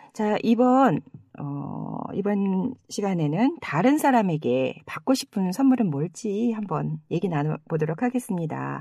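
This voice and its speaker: At a very slow pace, a woman uses a medium pitch and a dark, mellow tone with very wide pitch swings. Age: 50s. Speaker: podcast host. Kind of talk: casual chat.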